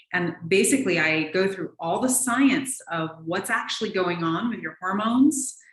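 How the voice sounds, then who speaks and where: In a normal speaking voice, a woman of medium pitch talks at a moderate pace with lively intonation and hardly any pauses. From US Pacific Northwest, Seattle. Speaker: naturopathic physician. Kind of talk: interview.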